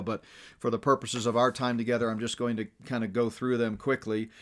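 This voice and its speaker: Against a quiet background, a man speaks at a very fast pace. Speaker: ministry teacher. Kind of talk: remote lecture.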